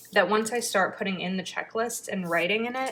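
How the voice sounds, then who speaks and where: Her tone is bright and sharp, and this woman holds a medium pitch with fairly even intonation. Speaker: planner YouTuber. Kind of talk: casual craft tutorial. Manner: chatty, thinking aloud.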